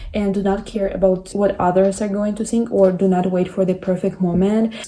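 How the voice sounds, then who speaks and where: A woman with a non-native accent, medium pitch and a fairly quick pace, with noticeable background noise. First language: not English. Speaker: content creator. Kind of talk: motivational talk to camera.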